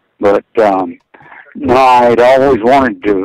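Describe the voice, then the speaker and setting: A man delivers his words at medium pitch in a monotone, flat way. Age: 70s. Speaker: stand-up comedian. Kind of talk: casual interview chat. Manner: halting.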